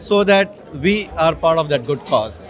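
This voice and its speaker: High-pitched male voice against noticeable background noise. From India. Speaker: community business leader. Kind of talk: on-site interview.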